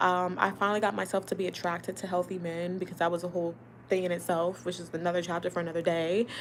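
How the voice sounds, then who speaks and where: Her pitch fairly low and her intonation flat and monotone, a woman talks at a very fast pace. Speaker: relationship advice vlogger. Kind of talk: casual live-stream monologue.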